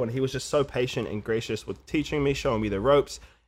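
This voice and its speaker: In a New Zealand accent, a man talks at a very fast pace and medium pitch on a very clean recording with a silent background. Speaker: musician and podcast sound editor. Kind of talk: casual chat. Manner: halting, many fillers and repeats.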